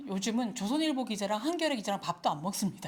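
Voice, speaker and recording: Somewhat breathy and medium in pitch, a woman's voice moves through very wide pitch swings. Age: 60s. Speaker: retired journalist and lecturer. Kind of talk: lecture.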